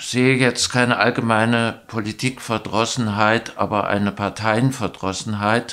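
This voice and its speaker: Quiet background, a man at a medium pitch, very slow pace, fairly even intonation. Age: 70s. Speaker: local election candidate, retired teacher; election candidate, retired teacher. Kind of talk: candidate self-introduction interview. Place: studio.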